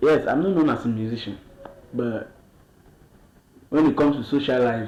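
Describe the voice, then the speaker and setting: A man at medium pitch can be heard through audible room echo and noticeable background noise. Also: ordinary pitch variation, moderate pace. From Cameroon, Bamenda. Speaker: musician. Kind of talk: interview.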